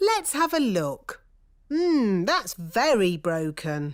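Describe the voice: A female-sounding cartoonish character voice speaks at a very slow pace. Its fairly high pitch moves in very wide swings.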